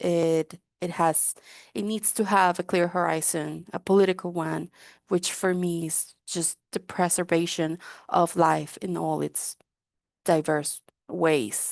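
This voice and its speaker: In a Spanish accent, a woman speaks very slowly at a fairly low pitch with fairly even intonation, in a dry, close sound with no echo and a quiet background. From Guatemala. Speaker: drug user rights activist. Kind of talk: webinar panel talk.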